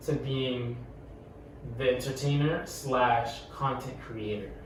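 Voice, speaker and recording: Amid noticeable background noise and audible room echo, a man talks at a very slow pace and a fairly high pitch. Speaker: podcast co-host. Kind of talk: casual chat. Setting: podcast recording with camera. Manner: halting, many repetitions.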